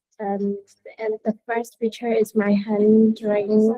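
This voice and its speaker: A woman speaks very slowly in a Burmese accent, with a fairly high pitch. Her tone is dark and mellow, and her intonation is monotone and flat. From Myanmar. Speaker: design student. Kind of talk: student presentation. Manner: halting, non-fluent English. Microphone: video call.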